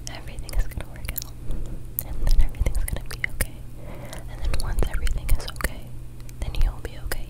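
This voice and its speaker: Soft-spoken and whispering, a woman talks at a fairly quick pace. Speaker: ASMR creator. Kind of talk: soft-spoken ASMR reassurance. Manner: soft close-mic ASMR whisper. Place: home room. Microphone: studio mic.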